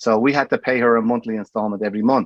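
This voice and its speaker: A man with an Irish accent, medium pitch and ordinary pitch variation, in a dry, close sound with no echo. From Ireland. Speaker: bar owner. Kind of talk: casual chat.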